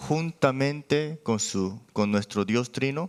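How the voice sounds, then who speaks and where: His pitch leaps very widely. This man speaks very slowly. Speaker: pastor. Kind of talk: sermon. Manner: halting.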